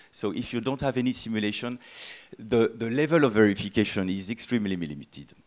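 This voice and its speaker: A medium-pitched man with a French accent, very fast, with ordinary pitch variation against a quiet background. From France. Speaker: software tool company presenter; conference presenter. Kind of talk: conference talk. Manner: hesitant, many fillers. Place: hall. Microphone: handheld.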